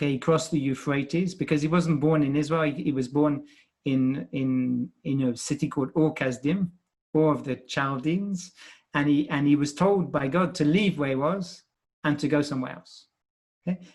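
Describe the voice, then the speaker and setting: Here is a man with a British accent. His pitch sits fairly high. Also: ordinary pitch variation, moderate pace. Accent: British accent, marked as foreign in France. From Britain. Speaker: scientist and professor. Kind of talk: podcast interview. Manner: halting, many repeated words.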